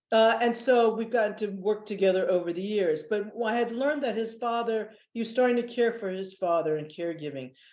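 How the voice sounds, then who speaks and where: A woman with an American accent and a fairly high pitch has an unremarkable speaking voice, ordinary pitch variation, and a fairly quick pace over a quiet background. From US East Coast (Northern Virginia). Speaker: nonprofit executive. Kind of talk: webinar panel interview. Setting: video webinar.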